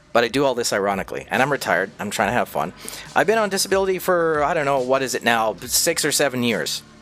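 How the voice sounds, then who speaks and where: Over music in the background, the voice moves at a very fast pace with very wide pitch swings. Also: man, fairly high pitch for a man. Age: almost 60. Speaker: streamer, former radio broadcaster. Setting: cheap microphone. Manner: casual, profane, joking.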